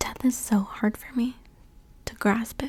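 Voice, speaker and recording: Over noticeable background noise, the soft-spoken voice moves at a very slow pace. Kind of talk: ASMR soft-spoken talk to camera.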